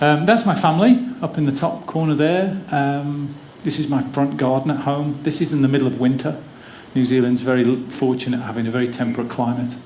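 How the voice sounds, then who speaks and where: With an English accent, a man talks fairly quickly in a fairly high voice with ordinary pitch variation, amid noticeable background noise and audible room echo. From English Midlands, near Wolverhampton. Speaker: physiotherapy academic. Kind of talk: conference talk. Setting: theater stage with audience. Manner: casual, humorous.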